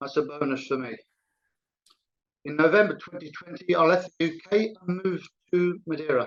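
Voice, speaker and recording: Speaking high for a man, he keeps a moderate pace with ordinary pitch variation. His loudness swings widely, and long pauses come often. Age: 70s. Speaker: walking football club founder. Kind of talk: conference talk. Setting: video call.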